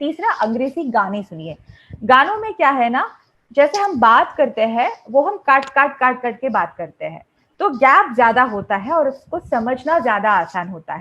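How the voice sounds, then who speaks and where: With very wide pitch swings, a woman projects a raised, high-pitched voice in a Malayalam accent. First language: Malayalam (speaking Hindi). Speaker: English teacher. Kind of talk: lecture. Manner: conversational, with hesitations.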